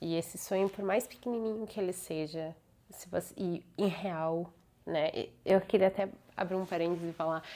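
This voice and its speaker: A woman with a plain, everyday voice, fairly even intonation and a moderate pace. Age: 20s. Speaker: vlogger, lawyer. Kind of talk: personal vlog monologue.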